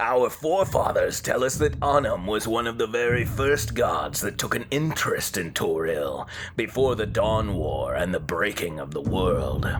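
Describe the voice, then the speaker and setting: A man in a put-on character voice, with clear background noise. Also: moderate pace. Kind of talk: fantasy lore storytelling. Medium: read story. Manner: measured, storytelling.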